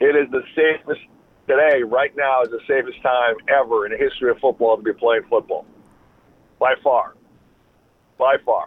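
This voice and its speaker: Moving at a moderate pace, a man speaks with long, frequent pauses. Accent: Upper Midwest. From Wisconsin. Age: 40s. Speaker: former NFL player and sports agent. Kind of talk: interview.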